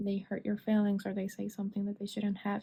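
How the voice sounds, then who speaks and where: A woman speaks in a dark, mellow, somewhat breathy tone at medium pitch, her intonation monotone and flat. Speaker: tarot reader. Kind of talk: tarot reading monologue.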